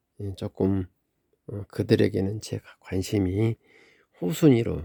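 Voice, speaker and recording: A fairly slow delivery marks this clip. The tone is dark and mellow. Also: man. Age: 60s. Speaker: family caregiver for elderly mother. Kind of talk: personal vlog monologue. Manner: halting.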